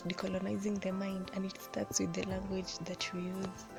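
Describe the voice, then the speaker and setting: Over music in the background, a woman talks at a moderate pace in a medium pitch. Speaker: book reviewer. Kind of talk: casual book review to camera. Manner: monotone.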